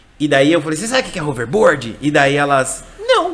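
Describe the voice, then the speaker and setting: Against noticeable background noise, a man with a fairly high pitch talks in an animated tone. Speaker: English teacher. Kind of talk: casual chat.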